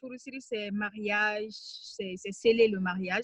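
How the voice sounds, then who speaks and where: A woman talks at a fairly slow pace with ordinary pitch variation and a bright, sharp tone. The sound is dry and close, with no echo. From Mali. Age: 20s. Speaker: writer and NGO communications officer. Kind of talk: interview conversation. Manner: hesitant, many fillers.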